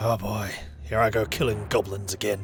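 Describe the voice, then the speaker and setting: A put-on character voice talks at a moderate pace. Background noise is clearly audible. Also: man, fairly low pitch for a man. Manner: grim with a slight hint of joy.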